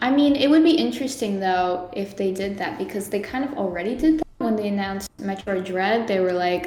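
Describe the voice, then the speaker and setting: Speaking fairly quickly with hardly any pauses, a woman uses a medium pitch and lively intonation. Audible room echo and noticeable background noise surround her voice. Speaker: video game fan. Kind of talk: casual chat. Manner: fast, halting.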